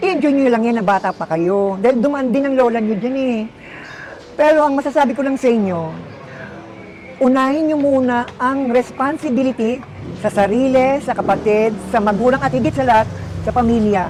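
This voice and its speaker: Against noticeable background noise, a woman speaks fairly quickly at a high pitch with ordinary pitch variation. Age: 60s. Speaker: interviewee. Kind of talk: testimony.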